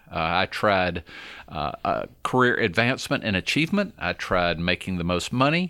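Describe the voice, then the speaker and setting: Here is a man with an American accent and a bright, sharp tone. His intonation is lively in a very clean recording with a silent background. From Georgia, US South. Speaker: marketing executive. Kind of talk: interview.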